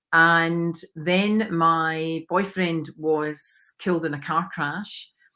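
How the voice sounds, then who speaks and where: In a Scottish accent, the speaker delivers a very slow, monotone, flat line in a bright, sharp tone on a very clean recording with a silent background. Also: woman, fairly low pitch for a woman. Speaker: mindset coach. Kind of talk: interview testimony.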